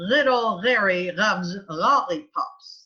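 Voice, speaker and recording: Put on as a character voice, the speech is guttural and fairly high-pitched, delivered at a fairly slow pace. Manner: exaggerated speech-error demonstration.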